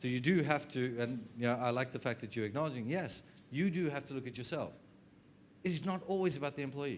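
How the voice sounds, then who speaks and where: Very fast speech comes from a man with an Australian accent and ordinary pitch variation. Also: fairly high pitch for a man. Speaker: HR consultant and trainer. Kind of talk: workshop presentation.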